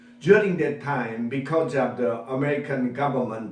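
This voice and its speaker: In a Korean accent, a man with a fairly high pitch speaks amid audible room echo and noticeable background noise. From South Korea, Kunsan area. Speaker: English interpreter and language teacher. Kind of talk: personal testimony speech.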